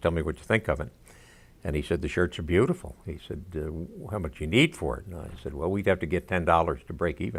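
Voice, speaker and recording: Recorded very cleanly against a silent background, a man with an American accent talks at a fairly quick pace in a very deep, low pitch with vocal fry and ordinary pitch variation. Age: 80s. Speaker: veteran, textile inventor. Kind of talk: documentary interview.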